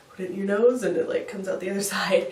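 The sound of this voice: With audible room echo, a woman speaks fast at a medium pitch, her tone slightly mellow and her intonation fairly even.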